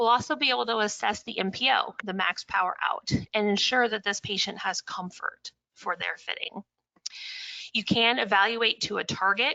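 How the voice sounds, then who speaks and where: At a moderate pace, a woman with a Midwestern American accent speaks at a medium pitch with ordinary pitch variation. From US Midwest, Indiana. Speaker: audiologist. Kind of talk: webinar lecture. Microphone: connection cutting out.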